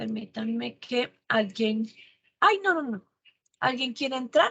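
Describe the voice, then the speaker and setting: A woman with a fairly high pitch talks in a bright, sharp tone with lively intonation. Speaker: university teacher. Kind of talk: online lecture. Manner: fast; animated.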